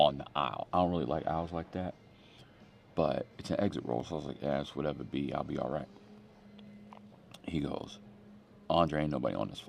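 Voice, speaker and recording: A man's very deep, low voice with vocal fry and an American accent, very fast in pace yet broken by long, frequent pauses, with ordinary pitch variation. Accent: East Coast accent comes out in New York. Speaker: pastor. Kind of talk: casual sermon. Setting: airport. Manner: casual, conversational.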